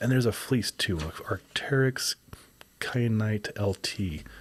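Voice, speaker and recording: Somewhat breathy and fairly low in pitch, a man speaks with long, frequent pauses. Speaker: outdoor gear reviewer and podcast host. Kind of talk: casual podcast monologue. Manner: casual, filler words.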